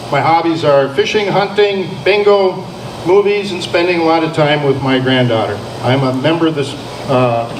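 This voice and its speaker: With an American accent and lively intonation, a man talks at a moderate pace in a fairly high voice, with noticeable background noise and audible room echo. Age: 60s. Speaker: mayoral candidate. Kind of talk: candidate introduction at debate. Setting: hall with live audience, microphone.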